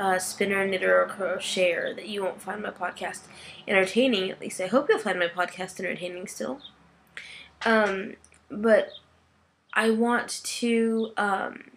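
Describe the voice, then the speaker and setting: In a plain, everyday voice, a woman talks at a moderate pace with medium pitch, ordinary pitch variation and big swings in loudness. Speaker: podcast host. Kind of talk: casual podcast monologue.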